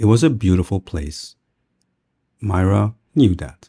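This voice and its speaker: A dark, mellow voice with a non-native accent speaks at a very slow pace in a very clean, dry recording, close with no echo and a silent background. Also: man. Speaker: storyteller. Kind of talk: bedtime story reading for English learners. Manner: slow, soft-spoken.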